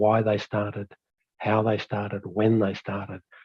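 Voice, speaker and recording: This man has an Australian accent and a fairly low pitch. His voice is somewhat breathy, and he speaks at a fairly quick pace. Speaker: fire management expert presenter. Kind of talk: webinar presentation. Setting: online webinar.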